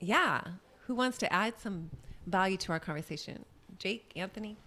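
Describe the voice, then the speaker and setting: A plain, everyday voice from a woman, medium-pitched, with ordinary pitch variation and a moderate pace. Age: 50s. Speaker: podcast co-host and business cofounder. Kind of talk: casual chat.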